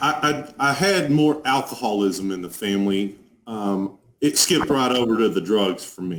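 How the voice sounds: A man speaks with a strong Texas accent at a fairly low pitch. His intonation is lively. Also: moderate pace.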